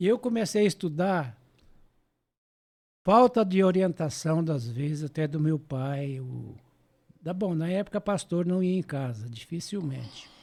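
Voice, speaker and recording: At a fairly slow pace with long, frequent pauses, a man speaks in a high pitch on a very clean recording with a silent background. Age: 80s+. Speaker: church elder. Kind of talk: testimony.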